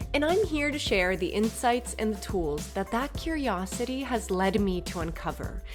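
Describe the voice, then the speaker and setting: A woman at a moderate pace with hardly any pauses, music in the background. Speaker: podcast host; actor, yoga instructor. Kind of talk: podcast intro.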